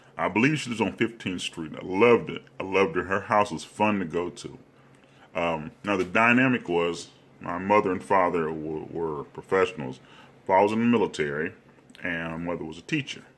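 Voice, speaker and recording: His very deep, low voice moves at a fairly quick pace, as this man uses lively intonation and big swings in loudness. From US South, Alabama (Hobson City near Anniston). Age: 50s. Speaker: comedian. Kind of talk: comedic storytelling monologue. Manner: animated.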